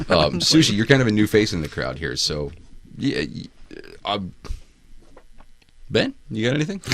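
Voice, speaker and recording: A man speaks at a moderate pace in a fairly low pitch with vocal fry, very wide pitch swings, and long, frequent pauses. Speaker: podcast host. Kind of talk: casual chat.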